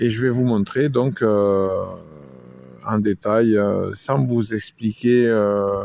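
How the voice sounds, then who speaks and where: A man speaks very slowly at a fairly low pitch, the sound dry and close with no echo. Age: 50s. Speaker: amateur video maker. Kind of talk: casual product show-and-tell. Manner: hesitant, many fillers.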